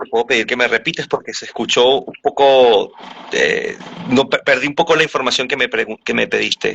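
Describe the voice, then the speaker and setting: Fairly quick male speech amid noticeable background noise. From Venezuela. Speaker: voice actor. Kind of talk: interview answer.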